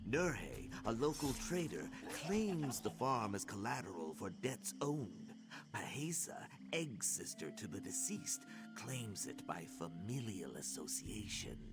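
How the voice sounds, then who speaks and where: A put-on character voice moves at a fairly slow pace over loud music in the background. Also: man. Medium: video game. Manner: hesitant, stammering.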